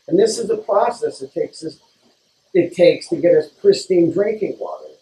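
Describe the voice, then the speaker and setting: Over light background noise and audible room echo, a man speaks at a very fast pace. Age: 60s. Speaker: water filtration business owner. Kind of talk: interview explaining product. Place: shop.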